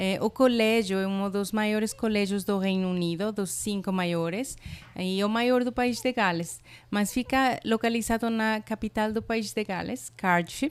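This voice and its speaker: The speaker talks at a fairly slow pace with a Spanish accent. The recording is very clean with a silent background, and the pitch varies in an ordinary way. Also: woman, medium pitch for a woman. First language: Spanish (speaking Portuguese). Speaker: college international representative. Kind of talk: podcast interview. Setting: podcast recording.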